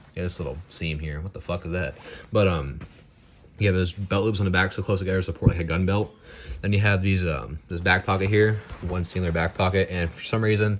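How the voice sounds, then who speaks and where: A man with an American accent talks at a very fast pace in a very deep, low voice with fairly even intonation. There is noticeable background noise. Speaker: gear reviewer. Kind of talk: product review. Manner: casual, halting with fillers.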